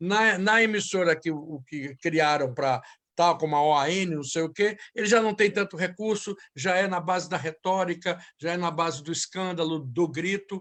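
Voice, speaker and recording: A man at a moderate pace, high in pitch, with ordinary pitch variation against a quiet background. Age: 60s. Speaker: journalist and show host. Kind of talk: panel debate.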